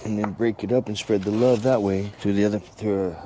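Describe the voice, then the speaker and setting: A man with a fairly low voice speaks in a fairly even tone over noticeable background noise. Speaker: amputee vlogger. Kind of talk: casual vlog talk while gardening. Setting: outdoors. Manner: sometimes fast due to brain injury; unscripted, with hesitations.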